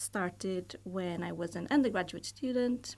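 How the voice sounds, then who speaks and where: A woman with a Portuguese accent is heard on a very clean recording with a silent background. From Portugal. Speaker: university lecturer and volleyball coach. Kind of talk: podcast interview. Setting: studio. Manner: hesitant, many fillers.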